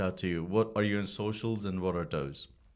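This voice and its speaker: A man with a non-native accent and a fairly low pitch. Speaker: podcast host. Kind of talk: casual interview.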